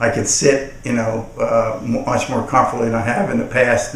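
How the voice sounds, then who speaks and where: Noticeable background noise and an audible room echo surround a man speaking at a moderate pace. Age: 60s. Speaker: customer giving a product testimonial. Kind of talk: testimonial. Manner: halting, many repetitions and fillers.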